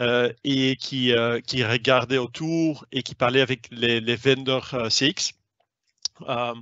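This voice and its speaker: A man's medium-pitched voice at a very slow pace, with monotone, flat intonation. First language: not French (speaking French). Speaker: sales manager. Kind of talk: webinar presentation. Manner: hesitant, many fillers.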